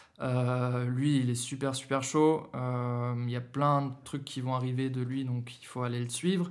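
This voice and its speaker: Speaking at a very slow pace, a man with a medium-pitched voice keeps a monotone, flat intonation in a room with audible echo. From Germany, Berlin. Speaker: rapper and singer. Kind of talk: casual interview. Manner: halting, hesitant.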